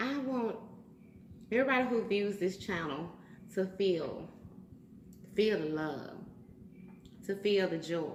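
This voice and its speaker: A woman with a Southern US accent speaks in an animated tone at a fairly slow pace, her medium pitch moving in lively intonation between long, frequent pauses, with audible room echo. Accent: Southern US, country. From US South. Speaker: YouTuber. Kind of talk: casual vlog, eating challenge. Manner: loud.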